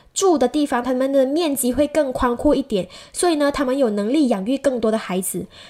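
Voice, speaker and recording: Her voice sits high, and this woman speaks with lively intonation. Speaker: podcast host. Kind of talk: interview.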